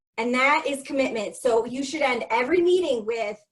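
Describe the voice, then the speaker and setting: Speech comes at a moderate pace. Pitch variation is ordinary. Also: woman. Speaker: leadership coach and consultant. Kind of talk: webinar presentation.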